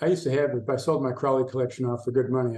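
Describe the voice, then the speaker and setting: A man with an American accent speaks at a very fast pace in a medium-pitched, somewhat breathy voice. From US Midwest, Chicago. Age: 60s. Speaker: esoteric researcher and writer. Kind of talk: podcast interview.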